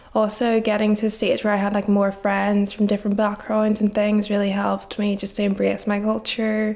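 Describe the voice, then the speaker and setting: A woman's monotone, flat delivery at a fairly quick pace, with hardly any pauses, very even loudness and noticeable background noise. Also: medium pitch for a woman. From Nigeria, moved to Belfast at 9. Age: young. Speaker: student. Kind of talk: interview.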